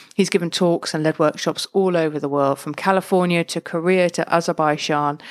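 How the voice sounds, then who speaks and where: A woman with an English accent speaks at a fairly quick pace in a monotone, flat way, the sound dry and close with no echo. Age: 40s. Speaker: podcast host. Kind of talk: scripted intro; interview. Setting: studio.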